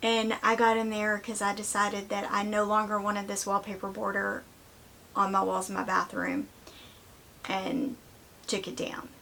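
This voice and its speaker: A woman talks at medium pitch in a Southern US accent, leaving long, frequent pauses. Noticeable background noise is audible. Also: fairly even intonation, moderate pace. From US South. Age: 50s. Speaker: vlogger. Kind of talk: casual chat.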